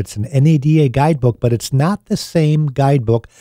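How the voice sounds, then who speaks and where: A man talks in a dark, mellow tone. The sound is dry with no echo, over a quiet background. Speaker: radio show host. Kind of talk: radio talk show advice. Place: studio. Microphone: studio mic.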